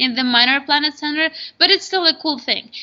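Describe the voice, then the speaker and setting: A woman speaks in an Albanian accent. Her pace is moderate, with ordinary pitch variation. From Kosovo. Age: young. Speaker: astronomy popularizer. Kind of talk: interview. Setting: live video stream.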